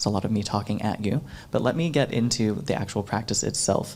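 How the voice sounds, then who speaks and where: In an ordinary speaking voice, a man with an American accent talks with lively intonation. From US South, Florida. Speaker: workshop facilitator. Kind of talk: workshop presentation. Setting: stage with audience.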